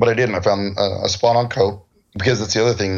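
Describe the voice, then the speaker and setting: Somewhat breathy, a man's voice carries an American accent. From US West Coast, San Diego. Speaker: cosplayer. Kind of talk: casual interview chat.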